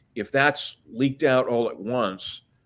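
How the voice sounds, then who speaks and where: Speaking very slowly with an American accent, a man is heard on a very clean recording with a silent background. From US, Washington DC. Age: 60s. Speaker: author. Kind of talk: interview.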